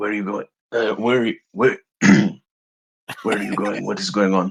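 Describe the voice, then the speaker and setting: A man puts on a raspy character voice, pitched fairly low for a man. He talks at a moderate pace, and the sound is dry and close with no echo. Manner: confused, anxious questioning.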